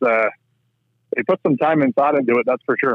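A man with an Ontario accent speaks at medium pitch with ordinary pitch variation. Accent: Canadian (Ontario). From southwestern Ontario, Canada. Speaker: rink builder, farmer. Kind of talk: casual interview chat.

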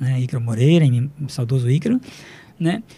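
His voice is fairly high for a man, with a dark, mellow tone and somewhat breathy quality. He uses ordinary pitch variation. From Brazil, Rio Grande do Norte (Upanema, near Mossoró). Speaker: chemistry professor. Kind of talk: radio interview. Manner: halting, many fillers.

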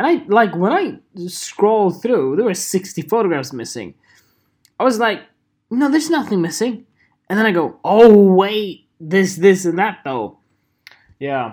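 An animated man at a high pitch, fairly slow, with very wide pitch swings and long, frequent pauses. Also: very clean recording, silent background. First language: Swedish. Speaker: podcaster and photographer. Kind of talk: solo casual monologue.

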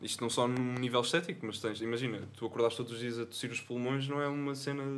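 A man talks with fairly even intonation. There is noticeable noise in the background. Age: 20s. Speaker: young musician. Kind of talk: casual chat. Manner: serious.

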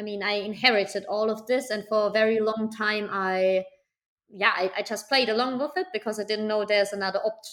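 A woman with a fairly high pitch speaks at a fairly quick pace, her intonation fairly even. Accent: German. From Germany, small town. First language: German. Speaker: startup founder and art coach. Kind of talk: interview.

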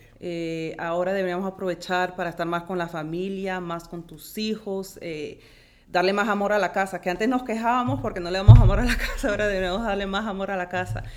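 A woman with a slight Colombian accent talks fairly quickly at a medium pitch, her loudness swinging widely. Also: fairly even intonation. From born in Philadelphia, Colombian and Peruvian parents. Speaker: auxiliary nurse. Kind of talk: interview. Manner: halting, repeats words.

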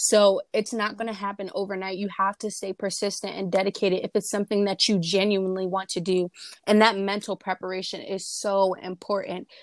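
A woman with an American accent talks at a fairly quick pace in a medium pitch, her intonation monotone and flat, the sound dry and close with no echo. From New Jersey. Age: young. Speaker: beauty pageant titleholder. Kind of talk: interview.

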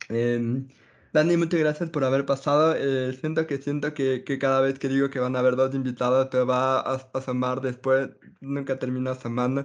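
Against a quiet background, a man talks at a moderate pace. His medium pitch holds a monotone, flat intonation. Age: 30s. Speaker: podcast host. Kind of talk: casual chat.

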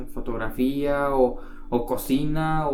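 Audible room echo carries this voice. A man speaks at a fairly high pitch. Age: 20s. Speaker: podcast co-host. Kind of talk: casual chat.

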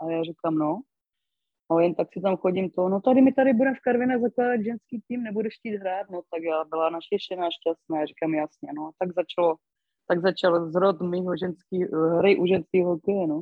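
A woman talks at a fairly quick pace in an ordinary speaking voice. Her pitch is medium, with ordinary variation. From Moravia, Karviná region. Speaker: former ice hockey player. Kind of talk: interview.

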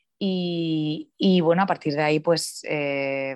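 A woman speaks in a very deep, low voice with fairly even intonation. The background is quiet. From Spain, Cartagena (Murcia region). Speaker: sports journalist. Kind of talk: interview. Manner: hesitant, many fillers and repetitions.

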